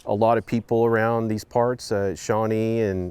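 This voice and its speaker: In an Oklahoma accent, a man speaks at a moderate pace with a monotone, flat intonation. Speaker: farmer. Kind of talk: interview.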